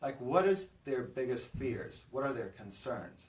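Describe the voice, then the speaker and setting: Somewhat breathy speech with ordinary pitch variation and audible room echo. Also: man. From Afghanistan and Pakistan, moved to Houston as teen. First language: Afghan language (English is fourth). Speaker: realtor, team lead. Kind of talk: podcast interview. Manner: hesitant, many fillers.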